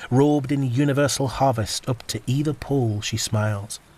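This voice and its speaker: There is noticeable background noise as a man speaks at a moderate pace. His intonation is monotone and flat. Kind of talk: poetry reading.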